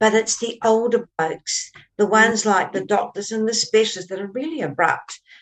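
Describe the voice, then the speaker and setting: In a New Zealand accent, a woman speaks at a moderate pace with a fairly high pitch. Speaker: co-host, author and author mentor. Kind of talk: interview conversation.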